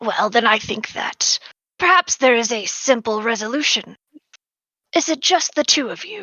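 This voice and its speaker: A female-sounding, put-on character voice speaks at a high pitch and moderate pace. Long pauses come often. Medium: actual play. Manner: measured, formal.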